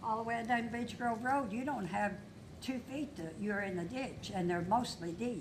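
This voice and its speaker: In a Kentucky accent, a woman speaks at a moderate pace with ordinary pitch variation, amid audible room echo and noticeable background noise. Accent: Kentucky Southern US. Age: 80s+. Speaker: local resident speaking at public comment. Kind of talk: public comment at council meeting. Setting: city council meeting.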